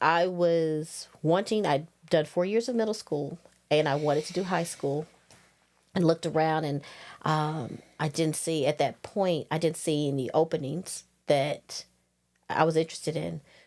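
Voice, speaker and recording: With a strong Southern US accent, a woman speaks in a very deep, low pitch. Her pitch variation is ordinary. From northwest Louisiana, near Texas and Arkansas border. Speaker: high school orchestra teacher. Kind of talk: podcast interview. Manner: fast.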